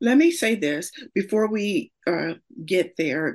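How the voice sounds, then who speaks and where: In an American accent, a woman speaks with fairly even intonation. The recording is very clean, with a silent background. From Gary, Indiana. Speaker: podcast host. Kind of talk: podcast interview.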